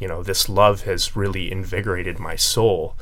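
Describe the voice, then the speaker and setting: A man talks at moderate speed, and audible room echo surrounds his voice. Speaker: university voice student. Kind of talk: radio interview. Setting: radio studio.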